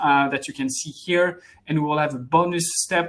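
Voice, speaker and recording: Fairly even intonation in a French accent, at a moderate pace. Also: man. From France. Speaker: head of international development at software company. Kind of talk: webinar presentation. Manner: hesitant, many fillers.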